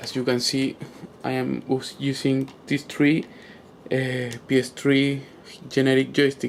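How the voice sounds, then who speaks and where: A man speaks at medium pitch, monotone and fairly slow, with long, frequent pauses and noticeable background noise. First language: not English. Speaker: gamer asking for tech help. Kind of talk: tutorial-style demonstration video. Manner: halting, many fillers.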